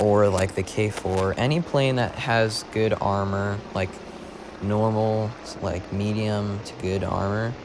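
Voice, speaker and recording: A man at a very slow pace, fairly low-pitched and fairly even in intonation, over noticeable background noise. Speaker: gaming video creator. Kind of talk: gameplay commentary. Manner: monotone; halting.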